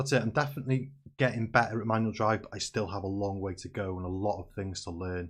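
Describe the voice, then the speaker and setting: Against a quiet background, a man with a fairly low pitch and a somewhat breathy voice talks very fast in an animated tone, with ordinary pitch variation. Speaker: gaming streamer. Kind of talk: gameplay commentary.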